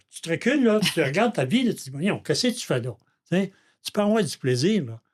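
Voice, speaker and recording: The voice is somewhat breathy, with a Quebec accent and very wide pitch swings at a fairly quick pace. The recording is very clean, with a silent background. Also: man. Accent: Québécois French. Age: 70s. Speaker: recovering alcoholic, father of the co-host. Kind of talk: personal testimony in podcast interview.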